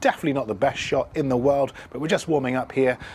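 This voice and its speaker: This man has a British accent. His pitch sits in the medium range. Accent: British accent, noticeable. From UK. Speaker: filmmaking tutor, content creator. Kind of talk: tutorial. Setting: outdoors, city streets.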